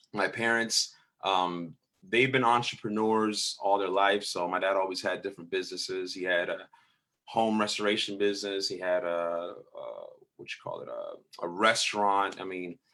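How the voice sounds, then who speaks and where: At a moderate pace, a man with a fairly low pitch and a bright, sharp tone speaks with big swings in loudness. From Tampa, Florida, Puerto Rican family. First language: Spanish. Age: 30s. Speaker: pastor. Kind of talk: casual interview chat. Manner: casual, animated.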